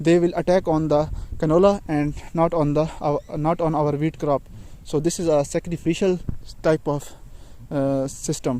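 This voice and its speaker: A man with a non-native accent and a fairly high pitch, monotone and flat in intonation, at a fairly slow pace. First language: not English. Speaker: farmer vlogger. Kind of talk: casual vlog narration. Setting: outdoors in fields. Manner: halting.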